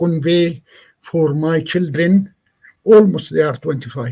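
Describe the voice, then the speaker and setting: Speaking with an Arabic accent, a man with a high pitch talks at a very slow pace with ordinary pitch variation. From Palestine. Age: 60s. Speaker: Palestinian agricultural NGO representative. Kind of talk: lecture. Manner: halting.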